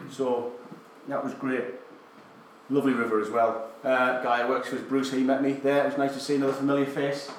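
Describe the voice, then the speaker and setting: A man talks at a fairly quick pace in a flat monotone, with long, frequent pauses, noticeable background noise and audible room echo. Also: medium pitch for a man. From northern England, County Durham. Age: 30s. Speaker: army veteran and adventurer. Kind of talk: talk to a live audience.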